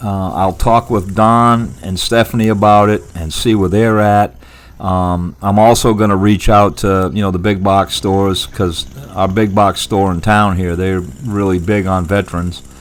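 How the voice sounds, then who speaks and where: Amid noticeable background noise, a man with a fairly low pitch speaks at a fairly slow pace with fairly even intonation. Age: 70s. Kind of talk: casual vlog talk to camera. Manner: halting, with many restarts.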